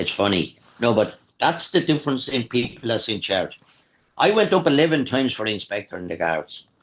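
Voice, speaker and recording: At a fairly quick pace, a man with a Waterford accent and vocal fry speaks at medium pitch with very wide pitch swings. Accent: Irish, Waterford. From Waterford, Ireland. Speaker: retired police diver. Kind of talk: interview answer. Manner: casual, conversational.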